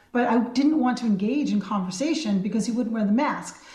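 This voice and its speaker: A woman speaks with a fairly high pitch and ordinary pitch variation. She has an ordinary speaking voice. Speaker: state senator. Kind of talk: radio interview recounting an event.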